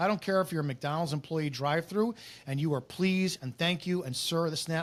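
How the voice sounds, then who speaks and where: A man talks loudly at a very fast pace, his pitch high and his tone animated. The recording is very clean, with a silent background. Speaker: former police officer. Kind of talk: casual podcast conversation.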